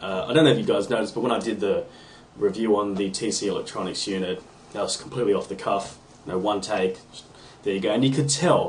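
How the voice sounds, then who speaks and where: A man's lively, fairly quick speech over noticeable background noise. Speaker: guitar hobbyist submitting podcast video response. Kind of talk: casual video response monologue. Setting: home room (man cave). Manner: off the cuff, with many ums and ahs.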